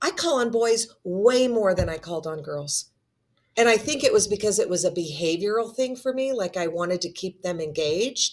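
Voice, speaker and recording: A woman with an ordinary speaking voice talks at a moderate pace, her medium pitch carried by lively intonation. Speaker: instructional coach. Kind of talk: casual chat.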